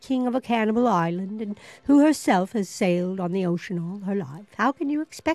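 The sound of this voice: Lively intonation in an unforced reading voice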